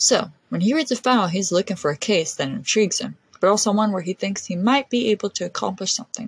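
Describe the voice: In plain reading aloud, the pitch moves with ordinary variation.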